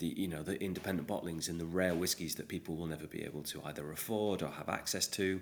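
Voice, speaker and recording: A man with an English accent talks very fast, with hardly any pauses. His very deep, low voice keeps a fairly even intonation. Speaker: podcast host and whiskey ambassador. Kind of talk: casual interview chat. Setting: remote call from UK.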